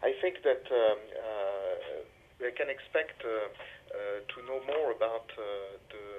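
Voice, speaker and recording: Speaking at a very slow pace, a man with a French accent shows big swings in loudness. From France. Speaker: diplomat. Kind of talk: interview. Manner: halting, many hesitations.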